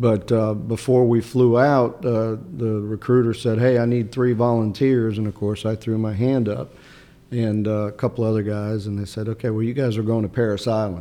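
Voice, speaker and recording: This man talks at a moderate pace with a medium pitch and monotone, flat intonation. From Chicago, US (born in Sicily). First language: Italian. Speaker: state senator and former Marine. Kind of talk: casual interview. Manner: halting, hesitant with repeated words.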